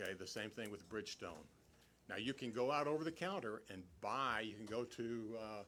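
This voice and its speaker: Loud and bright with a sharp tone, a man's fairly low voice moves at a moderate pace. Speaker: meeting attendee speaking at city council. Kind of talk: public meeting discussion. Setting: city council meeting hall, speaking at a mic. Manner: halting, many repetitions.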